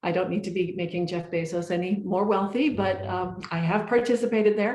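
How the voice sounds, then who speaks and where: With audible room echo, a woman with an American accent talks at a fairly quick pace, her medium pitch, fairly even intonation and dark, mellow tone all clear. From United States. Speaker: research agency managing director. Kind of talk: panel presentation. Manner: fast.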